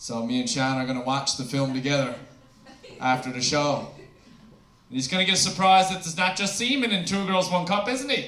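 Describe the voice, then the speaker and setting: Over noticeable background noise, a man talks fairly quickly in a high pitch with very wide pitch swings. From Newfoundland, Canada. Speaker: stand-up comedian. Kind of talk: stand-up comedy set. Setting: stage with audience. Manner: sarcastic, crude, storytelling.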